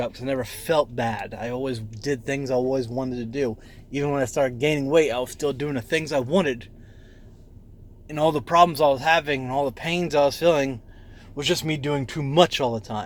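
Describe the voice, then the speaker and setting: Mumbling at a fairly quick pace, a man speaks in a medium pitch. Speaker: vlogger documenting weight loss. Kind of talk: casual vlog monologue. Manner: rambling, hesitant with fillers.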